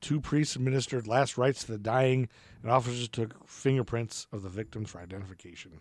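At a fairly quick pace, a man with medium pitch and an unremarkable speaking voice talks with ordinary pitch variation and big swings in loudness. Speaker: history podcast co-host. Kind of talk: casual chat.

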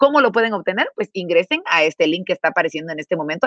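This woman's voice sits fairly low and moves with lively intonation. She talks at a very fast pace. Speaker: webinar host. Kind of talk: sponsored livestream hosting. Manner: formal.

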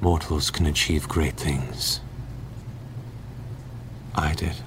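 Over loud background noise, a man talks very slowly in a resonant, put-on character voice.

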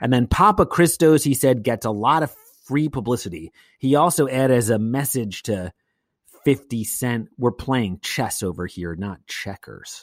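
With a plain, everyday voice, a man talks at a medium pitch and moderate pace with lively intonation, in a very clean recording with a silent background and a dry, close sound with no echo. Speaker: podcast host. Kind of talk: casual chat. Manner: bantering.

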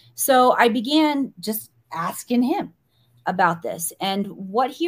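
Speaking with an American accent, the voice is somewhat breathy and has lively intonation. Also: woman. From US Midwest, small-town Missouri. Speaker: spiritual teacher. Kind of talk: podcast interview.

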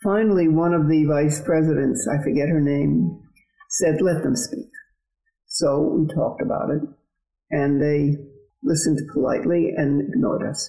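With long, frequent pauses at a moderate pace, a woman speaks in a very deep, low voice with a dark, mellow tone, vocal fry and ordinary pitch variation. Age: 80s. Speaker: retired marathon champion. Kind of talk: interview, recounting personal story.

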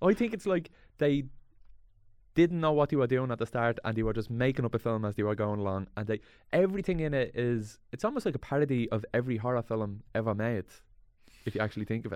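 Very fast, lively speech in a Dublin accent over a quiet background. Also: man, medium pitch for a man. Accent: Dublin Irish. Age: 30s. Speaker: actor and comedian. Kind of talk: casual chat.

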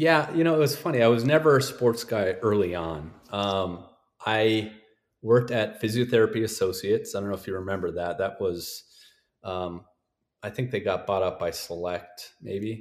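On a very clean recording with a silent background, a man with an American accent uses an ordinary speaking voice, fairly low pitch and lively intonation at a moderate pace. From North Dakota, US. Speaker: sports physical therapist. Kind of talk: podcast interview.

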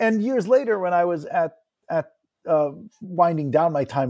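A man with an American accent and an unremarkable speaking voice talks at a moderate pace with lively intonation. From New Jersey. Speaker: university founder and chief executive. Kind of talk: interview.

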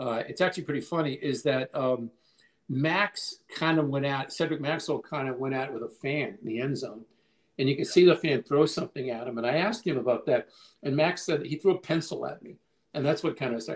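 A man with a normal speaking voice talks at a fairly quick pace, his fairly high pitch varying in an ordinary way. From Boston (Cambridge), Massachusetts. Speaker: sports writer. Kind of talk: casual chat.

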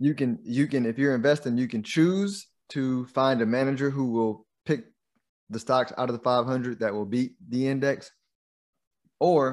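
On a very clean recording with a silent background, a man with an American accent talks at a moderate pace in a medium voice with ordinary pitch variation. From Texas (Houston). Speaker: investment manager and podcast host. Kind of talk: interview, explaining investing.

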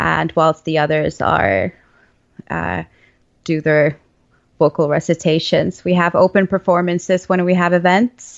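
A woman with a Finnish accent, fairly low in pitch and with vocal fry, at a fairly slow pace with long, frequent pauses. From Finland (Lapland). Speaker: violinist and composer. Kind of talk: casual chat.

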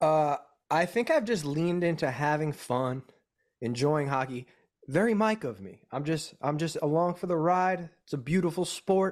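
A man with a fairly high pitch and lively intonation speaks at a moderate pace in an unremarkable speaking voice, on a very clean recording with a silent background. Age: 30s. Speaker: touring musician. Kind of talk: casual chat.

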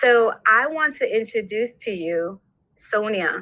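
Speaking in an American accent, a woman talks at a very slow pace. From New York, Brooklyn. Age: 50s. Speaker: podcast host. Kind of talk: casual interview.

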